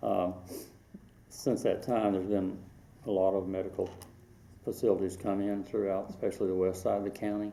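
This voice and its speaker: In a Southern US accent, a man speaks at a fairly low pitch with a dark, mellow tone and monotone, flat intonation. His pace is fairly quick, broken by long, frequent pauses. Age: 60s. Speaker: local history interviewee. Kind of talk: oral history interview.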